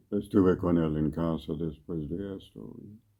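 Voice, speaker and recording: A man with a very deep, low pitch and a dark, mellow tone speaks fairly slowly, his pitch varying in an ordinary way. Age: 70s. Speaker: ethnobotanist author. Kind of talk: interview. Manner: halting, with many fillers.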